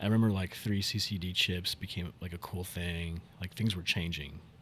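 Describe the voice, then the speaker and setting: A man with a very deep, low pitch and an American accent, somewhat breathy, at a moderate pace with ordinary pitch variation, on a very clean recording with a silent background. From Miami and Tulsa, Oklahoma. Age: 30s. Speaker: actor and indie filmmaker. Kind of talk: casual interview chat.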